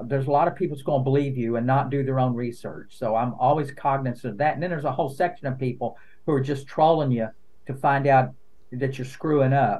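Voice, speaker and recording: Delivered at a very fast pace in an Appalachian accent, the speech has fairly even intonation. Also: man, medium pitch for a man. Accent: Appalachian Southern US. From eastern Kentucky, Appalachia. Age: 60s. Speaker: lawyer and content creator. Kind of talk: podcast interview. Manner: casual, conversational with fillers.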